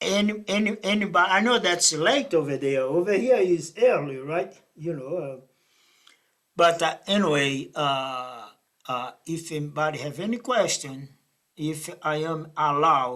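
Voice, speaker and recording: A man with a Brazilian accent, fairly high in pitch, bright and sharp in tone, fairly slow, with lively intonation. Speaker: math professor. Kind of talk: lecture. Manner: halting.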